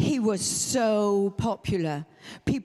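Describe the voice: Reading aloud, plainly done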